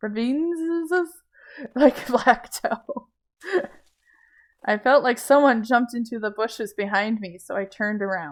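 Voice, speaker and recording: With an American accent, a high-pitched woman speaks at a fairly slow pace with lively intonation, big swings in loudness, and long, frequent pauses. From US South. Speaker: gaming streamer. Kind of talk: reading game text aloud. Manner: halting over difficult words.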